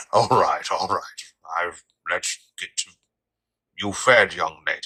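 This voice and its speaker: Speaking fairly slowly, a man puts on a character voice. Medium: audio drama. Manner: polite, warm.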